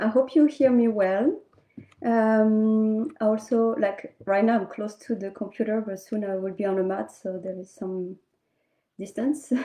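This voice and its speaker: Her tone dark and mellow, a woman speaks at a fairly slow pace with ordinary pitch variation and big swings in loudness. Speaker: yoga teacher. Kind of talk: guided yoga class instruction. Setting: home livestream on computer. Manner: slow, deliberate; halting, some hesitations. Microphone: laptop mic, distance from computer.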